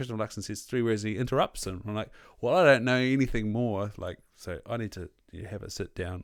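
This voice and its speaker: On a very clean recording with a silent background, a man with a Southland New Zealand accent talks very fast at a fairly low pitch, with ordinary pitch variation and big swings in loudness. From New Zealand, Southland (Invercargill). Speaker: podcast host. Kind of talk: casual chat.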